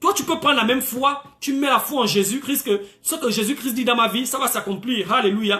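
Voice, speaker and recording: Raising and projecting his voice, a man speaks at an extremely high pitch. He keeps a moderate pace with ordinary pitch variation. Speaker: preacher. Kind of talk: sermon. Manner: animated, frequent alleluias.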